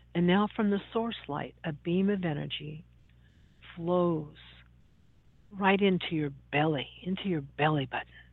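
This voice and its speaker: A woman speaks in a soothing, calm tone at a fairly slow pace, her pitch fairly low. Her pitch varies in an ordinary way, and she leaves long, frequent pauses. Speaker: radio host. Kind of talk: guided meditation; talk show monologue. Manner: slow, soothing, calm; gentle, deliberate, instructive.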